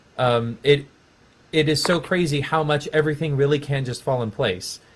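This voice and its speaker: A man with an American accent speaks at a moderate pace in a somewhat breathy voice, fairly high-pitched for a man. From Texas. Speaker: music education professor. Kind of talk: casual chat.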